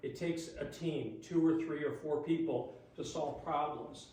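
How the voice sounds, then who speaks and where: A man's fairly high voice at a fairly slow pace, with noticeable background noise. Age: 60s. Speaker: resident speaking at public meeting. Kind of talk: public comment at township board meeting. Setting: township board meeting.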